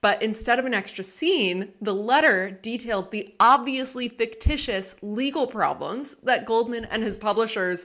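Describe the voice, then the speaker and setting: A woman with a plain, everyday voice, fairly high in pitch, at a moderate pace with ordinary pitch variation. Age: 20s. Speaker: librarian and book podcast co-host. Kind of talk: casual chat.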